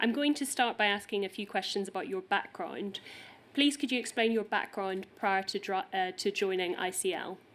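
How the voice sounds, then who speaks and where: A woman with a Northern Irish accent and ordinary pitch variation. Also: medium pitch for a woman, moderate pace. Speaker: inquiry counsel. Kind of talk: formal questioning at public inquiry. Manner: formal.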